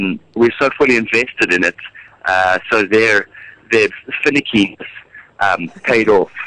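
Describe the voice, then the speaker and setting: With a South African accent, a man keeps his loudness very even and his pitch variation ordinary, leaving long, frequent pauses in a dry, close sound with no echo. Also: medium pitch for a man, moderate pace. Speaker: musical theatre actor. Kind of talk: radio interview. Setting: radio studio. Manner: hesitant, many fillers and repeats.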